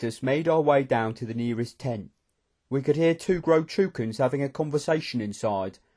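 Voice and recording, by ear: The background is quiet as a voice reads aloud naturally.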